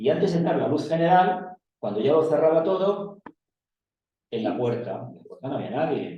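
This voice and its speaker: His intonation is lively. The man's pitch sits fairly high. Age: 60s. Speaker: audience member. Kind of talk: personal anecdote in Q&A. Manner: halting.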